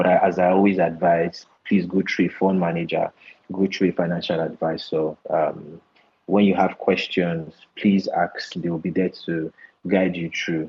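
This man speaks at a moderate pace in a very deep, low voice with a monotone, flat intonation. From southern Nigeria (Port Harcourt, Delta State). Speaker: equity research analyst. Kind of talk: interview about investing basics.

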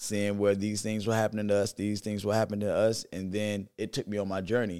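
Fairly quick and monotone, a man with a fairly low pitch speaks in flat intonation on a very clean recording with a silent background. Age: 40s. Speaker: vegan wellness educator and business owner. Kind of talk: casual interview.

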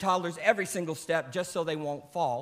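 This man talks at a very fast pace in a high pitch with an American accent. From United States. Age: 50s. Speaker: pastor. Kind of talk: sermon.

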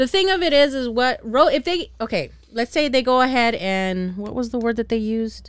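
A woman speaks in an animated tone with lively intonation. Her pitch is high and her pace moderate. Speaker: podcast host. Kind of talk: casual chat.

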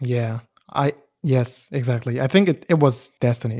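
A somewhat breathy man's voice, medium-pitched, with a German accent and a dry, close sound with no echo. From West Germany, Turkish roots. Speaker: music producer. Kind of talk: interview. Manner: halting.

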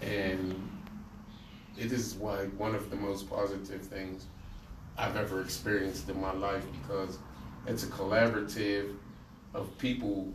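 A man with a fairly low voice speaks at a fairly slow pace with long, frequent pauses, amid noticeable background noise and audible room echo. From Pittsburgh, US. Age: 60s. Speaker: community activist and urban farmer. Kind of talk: interview. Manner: animated.

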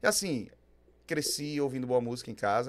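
Lively intonation marks this man's ordinary speaking voice, pitched in the medium range at a moderate pace. The recording is very clean, with a silent background. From Aracaju, Sergipe, Brazil. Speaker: rock singer-songwriter. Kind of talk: casual interview chat.

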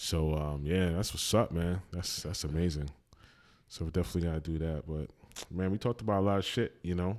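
This American-accented man has a very deep, low voice with ordinary pitch variation. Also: fairly quick pace. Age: 40s. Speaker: podcast host. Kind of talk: casual chat.

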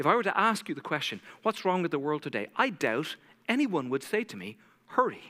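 The tone is bright, sharp and intense, with very wide pitch swings and vocal fry. Delivery moves at a fairly quick pace. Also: man, fairly high pitch for a man. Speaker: preacher giving a sermon. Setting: church service. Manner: fast talker, intense.

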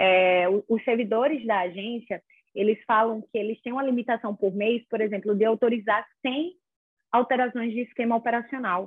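An unremarkable speaking voice from a woman, fairly high in pitch, at a moderate pace with ordinary pitch variation. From Brazil, small town in inland Alagoas. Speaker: lawyer in regulatory law. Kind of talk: casual interview.

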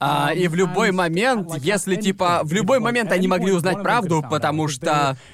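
With hardly any pauses, a man speaks at a high pitch and moderate pace, keeping very even loudness and ordinary pitch variation over noticeable background noise. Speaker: podcast host. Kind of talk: casual banter podcast. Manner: casual, swearing.

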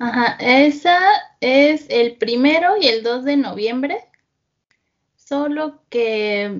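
A woman with a high-pitched voice talks very slowly and with lively intonation, stopping often for long pauses. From central Mexico (Estado de México). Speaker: interviewee. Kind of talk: casual chat.

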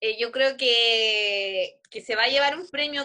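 In a Chilean accent, a bright, sharp voice moves at a very slow pace with ordinary pitch variation. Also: woman. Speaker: podcast co-host. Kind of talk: casual chat. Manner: animated.

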